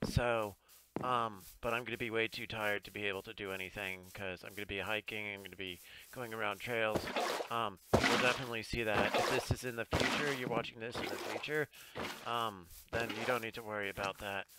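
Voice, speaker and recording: A fairly low-pitched man at a fairly quick pace, fairly even in intonation, with noticeable background noise. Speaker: gaming streamer. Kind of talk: casual chat. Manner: quiet, strained.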